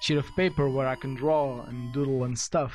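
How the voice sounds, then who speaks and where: A man with a non-native accent speaks at a moderate pace over background music. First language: not English. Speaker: gaming youtuber explaining math. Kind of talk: let's play tutorial. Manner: halting, many fillers and restarts.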